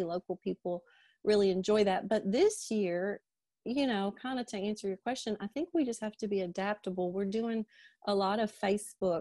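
At a fairly quick pace, a woman with a Kentucky accent speaks at medium pitch in a dark, mellow tone, with a dry, close sound and no echo. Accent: Kentucky Southern US. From Liberty, Kentucky. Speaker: pharmacist and drugstore owner. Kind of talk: interview. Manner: animated.

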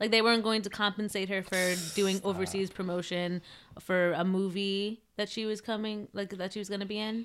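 Speaking at a moderate pace with an ordinary pitch variation and a New Jersey accent, this voice comes through on a very clean recording over a silent background. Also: woman. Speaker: podcast host. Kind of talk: casual chat. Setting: studio.

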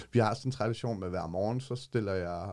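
A man talks in a fairly low pitch with a dark, mellow tone. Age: 40s. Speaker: homeless street newspaper vendor. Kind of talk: interview; reading aloud his own text. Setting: studio.

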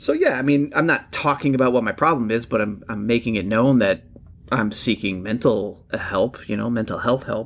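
With an upstate New York accent, a man speaks at a moderate pace. His pitch is medium, with ordinary variation. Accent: upstate New York long vowels. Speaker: podcast co-host. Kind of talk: casual chat. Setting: online recording platform.

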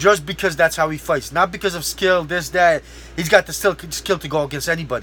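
A man's high-pitched, animated voice at a fairly quick pace. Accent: American. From outside the US. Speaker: podcast host and MMA fighter. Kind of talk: casual solo podcast monologue.

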